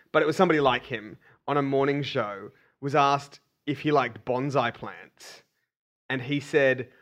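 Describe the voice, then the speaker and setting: A fairly high-pitched man with an Australian accent, at a moderate pace with long, frequent pauses. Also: ordinary pitch variation. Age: 20s. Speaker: co-host, comedian. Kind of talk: casual comedic chat.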